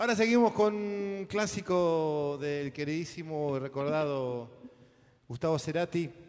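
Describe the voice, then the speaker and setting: A man's normal speaking voice, fairly high in pitch with ordinary variation, at a fairly slow pace. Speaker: musical director and emcee. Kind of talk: live concert emceeing. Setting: stage with audience.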